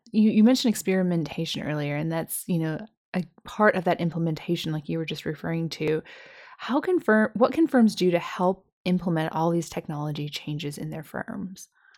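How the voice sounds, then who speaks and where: In a plain, everyday voice, a woman talks at a fairly quick pace in a fairly low pitch with ordinary pitch variation. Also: very clean recording, silent background. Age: 30s. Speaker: podcast host, financial planner. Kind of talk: interview.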